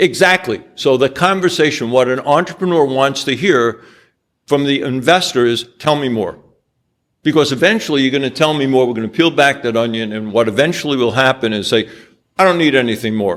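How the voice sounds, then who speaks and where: A man's normal speaking voice at medium pitch, with lively intonation and a fairly quick pace. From New York. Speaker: angel investor. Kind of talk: business presentation with slides.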